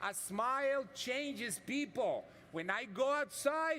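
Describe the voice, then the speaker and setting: Raising and projecting his voice, a man speaks in an animated tone with lively intonation. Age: 60s. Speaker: yoga instructor. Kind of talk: live yoga class instruction.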